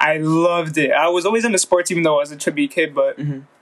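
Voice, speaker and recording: Noticeable background noise surrounds a man with an American accent. His high voice shows ordinary pitch variation. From Mexican heritage, US. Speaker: podcast co-host. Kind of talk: casual chat.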